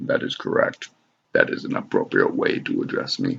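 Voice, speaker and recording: A man does a cartoonish character voice at an extremely high pitch. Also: moderate pace. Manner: flat, formal.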